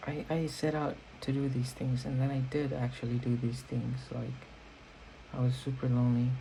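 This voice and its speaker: A man speaks in monotone, flat intonation at a medium pitch. His voice is somewhat breathy, with a dark, mellow tone. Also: moderate pace, very even loudness. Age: 20s. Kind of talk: casual talk to camera. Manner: rambling.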